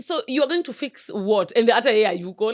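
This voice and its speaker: Very wide pitch swings in a very clean recording with a silent background. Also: woman. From Kenya, Nairobi. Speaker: online content creator. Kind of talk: interview chat.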